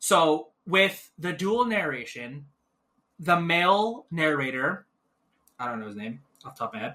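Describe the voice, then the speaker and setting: Fairly slow with long, frequent pauses, a man speaks at a high pitch in a bright, sharp tone, his pitch swinging very widely. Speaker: podcast co-host. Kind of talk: casual chat. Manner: mumbling; slower-paced.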